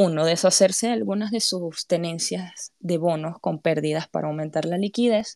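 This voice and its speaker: In an ordinary speaking voice, a woman speaks at a moderate pace with a fairly low pitch and ordinary pitch variation. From Panama. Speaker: crypto community podcast host. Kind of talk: monologue explainer on live audio space. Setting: live audio space.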